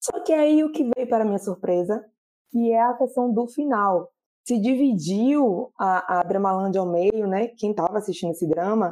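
Against a quiet background, a woman with a dark, mellow tone and fairly high pitch talks at a moderate pace with lively intonation. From Bahia, Brazil. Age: 30s. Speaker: drama reviewer, social media page owner. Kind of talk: casual chat.

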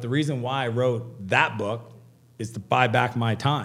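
A man speaks at medium pitch with ordinary pitch variation. He has an ordinary speaking voice. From Canada. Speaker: entrepreneur and author. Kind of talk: podcast interview.

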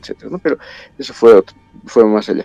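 Over music in the background, a man with a Bolivian accent talks at a medium pitch with ordinary pitch variation, the sound dry and close with no echo. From La Paz, Bolivia. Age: 50s. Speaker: guest, metal music fan. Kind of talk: casual chat.

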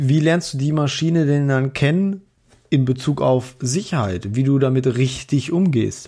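A man speaks at a fairly slow pace in a fairly high pitch, his tone dark and mellow and his loudness very even. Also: ordinary pitch variation. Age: 30s. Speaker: podcast co-host, hobbyist. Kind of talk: casual chat. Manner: hesitant with many fillers.

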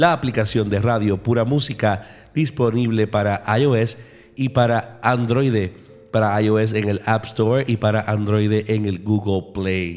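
A man talks at a very slow pace in a fairly low voice. His intonation stays fairly even. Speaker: radio host. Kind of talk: radio show presenting. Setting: radio studio. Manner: warm, romantic delivery.

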